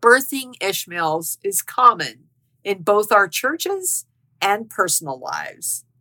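At a very slow pace, a woman with a medium-pitched voice speaks in a bright, sharp tone. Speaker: podcast host. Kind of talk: devotional podcast monologue. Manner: warm, earnest, testimonial.

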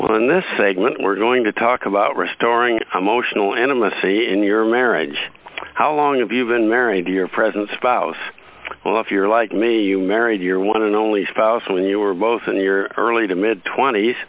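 At a moderate pace, a man with a fairly low pitch keeps his loudness very even and his intonation fairly even, against noticeable background noise. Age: 50s. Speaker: podcast host. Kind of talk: interview.

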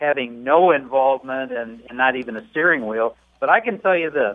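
A man talks at a moderate pace with lively intonation. He has a plain, everyday voice. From Dearborn, Michigan. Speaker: AARP spokesperson. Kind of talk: radio interview.

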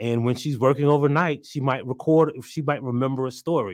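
A man with an American accent at medium pitch, ordinary pitch variation, and an unremarkable speaking voice, against a quiet background. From South Carolina. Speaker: journalist and writer. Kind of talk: casual interview.

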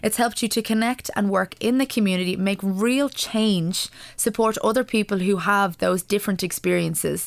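In an Irish accent, the speaker keeps a moderate pace with hardly any pauses, very even loudness and fairly even intonation, on a very clean recording with a silent background. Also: woman, medium pitch for a woman. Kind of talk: radio interview. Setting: studio.

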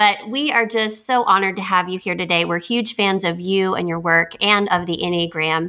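Noticeable background noise runs under a woman's voice. She keeps a moderate pace with hardly any pauses. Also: medium pitch for a woman, ordinary pitch variation. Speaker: podcast co-host. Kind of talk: interview.

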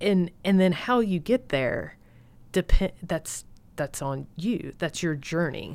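Speaking very slowly in a Southern US accent, a woman with a fairly low pitch uses lively intonation on a very clean recording with a silent background. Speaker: guest, military spouse. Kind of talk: casual chat. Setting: studio.

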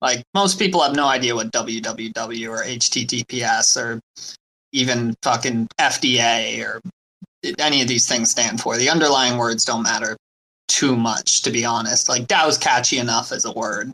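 The speaker talks at a fairly slow pace with ordinary pitch variation. It is an ordinary speaking voice. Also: man, medium pitch for a man. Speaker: crypto community member. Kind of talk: casual panel discussion. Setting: online audio room.

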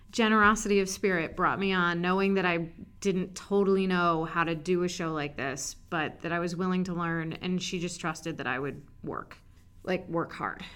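With a normal speaking voice, a woman talks at a fairly low pitch and a moderate pace, her intonation fairly even. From US Mid-Atlantic, Montgomery County, Maryland. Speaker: animation post-production supervisor. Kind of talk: interview.

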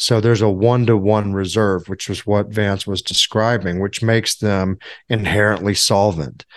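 Fairly even intonation marks a man's speech, delivered at a moderate pace. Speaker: financial advisor. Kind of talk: casual chat. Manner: halting.

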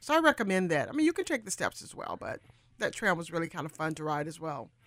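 This is a woman on a very clean recording with a silent background. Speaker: travel radio host. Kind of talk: tour-guide style travel talk. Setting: radio studio. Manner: animated; fluent, chatty, descriptive.

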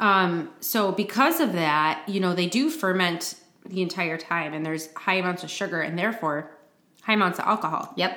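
With a Midwestern accent, a woman of medium pitch speaks at a moderate pace with ordinary pitch variation. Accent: general American Midwest. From Flint, Michigan; US Midwest. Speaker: podcast co-host. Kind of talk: casual chat.

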